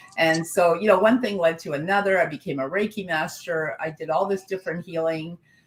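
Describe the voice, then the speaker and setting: Over noticeable background noise, a woman speaks at a fairly quick pace. Her pitch is fairly low, with ordinary pitch variation. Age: 60s. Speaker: spiritual coach and author. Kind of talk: interview conversation.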